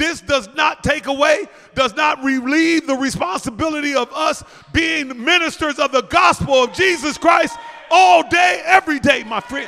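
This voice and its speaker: A man's raised, projected voice sits at an extremely high pitch. Noticeable background noise runs underneath. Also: ordinary pitch variation, moderate pace. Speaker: preacher. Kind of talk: sermon. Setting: church. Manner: loud.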